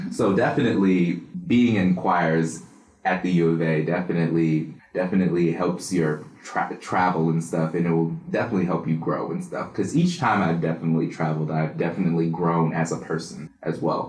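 Over audible room echo, a man with a very deep, low voice speaks fairly quickly with fairly even intonation. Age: 20s. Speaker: business student and singer. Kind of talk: interview.

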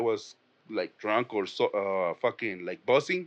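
A man with a Spanish accent, dry and close with no echo, over a quiet background. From Mexico. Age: 30s. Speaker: comedian. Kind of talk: casual chat.

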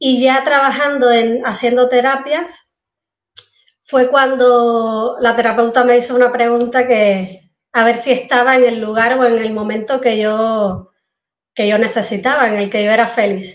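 The speaker talks with a Cuban accent. The pace is fairly slow and the intonation fairly even. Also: woman, high pitch for a woman. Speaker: entrepreneur, former engineer. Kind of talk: interview.

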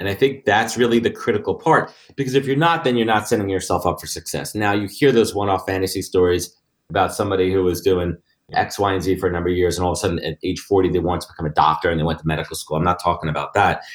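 A man's very deep, low voice at a very fast pace. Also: ordinary pitch variation. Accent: New York. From New York. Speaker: recruiting firm founder. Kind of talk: interview conversation.

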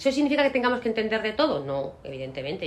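A woman talks with lively intonation. Noticeable background noise sits behind her. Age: 50s. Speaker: law firm managing partner. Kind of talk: interview.

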